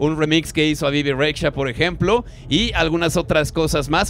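A man talking at a very fast pace over background music, the sound dry with no echo. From Mexico. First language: Spanish. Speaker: radio host. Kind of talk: live radio interview with Spanish interpretation. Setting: live radio broadcast at a festival. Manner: halting in English, many fillers. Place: booth. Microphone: handheld.

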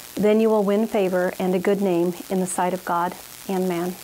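The delivery is monotone and flat, with light background noise behind it. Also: woman. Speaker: fitness instructor. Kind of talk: prayer and scripture reading. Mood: earnest, devotional.

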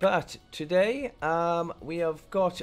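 A man speaks with faint music in the background. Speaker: gaming streamer. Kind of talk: gaming commentary. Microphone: headset.

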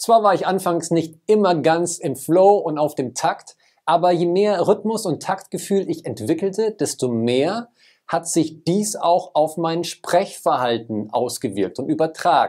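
Against a quiet background, a man talks at a fairly slow pace. His pitch is high and his intonation lively. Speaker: communication trainer. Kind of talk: personal vlog. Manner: fluent, occasional slight stutter.

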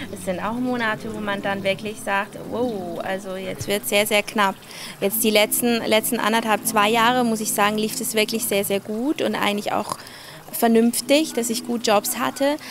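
A woman speaks at a moderate pace and a fairly high pitch with fairly even intonation. The sound is dry with no echo, with noticeable background noise. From Switzerland, Basel area. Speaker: singer. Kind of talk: casual interview. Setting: livestream from a living room. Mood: relaxed, friendly, smiling. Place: garden. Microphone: handheld.

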